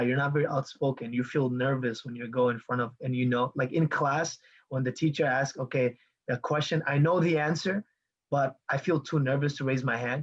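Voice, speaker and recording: A man talks at a moderate pace with a fairly high pitch. His voice is somewhat breathy, with ordinary pitch variation. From Bangladesh. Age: 20s. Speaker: online marketing coach. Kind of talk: live video call talk. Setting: video call. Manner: animated.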